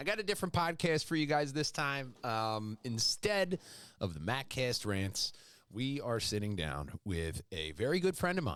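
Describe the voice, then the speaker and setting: On a very clean recording with a silent background, a man with a Philadelphia accent makes very wide pitch swings. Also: medium pitch for a man, moderate pace. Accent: Philly. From Philadelphia suburbs, Delaware County. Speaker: podcast host. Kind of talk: casual interview chat.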